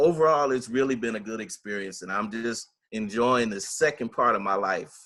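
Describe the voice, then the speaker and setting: A man with an American accent and a normal speaking voice, at a moderate pace with ordinary pitch variation. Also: medium pitch for a man. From Los Angeles, California. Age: 60s. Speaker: retired purchasing agent turned actor. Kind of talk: interview. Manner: conversational, with frequent fillers.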